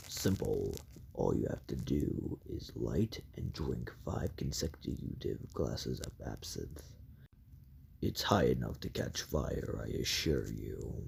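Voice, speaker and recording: In a put-on character voice, a man speaks with a very deep, low pitch and lively intonation. His pace is fairly slow. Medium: read story. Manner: smooth, self-assured.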